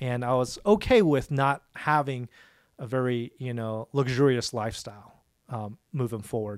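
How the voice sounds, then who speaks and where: A man's unremarkable speaking voice at medium pitch, with ordinary pitch variation and a moderate pace, in a dry, close sound with no echo. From Dallas, Texas. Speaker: family business owner. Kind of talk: interview.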